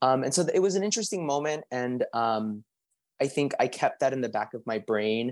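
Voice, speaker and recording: A man with an unremarkable speaking voice, medium pitch and lively intonation at a fairly quick pace, in a very clean recording with a silent background. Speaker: language access policy coordinator. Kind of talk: panel discussion.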